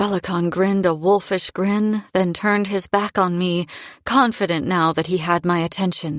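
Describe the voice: This is plain reading aloud in a fairly even intonation.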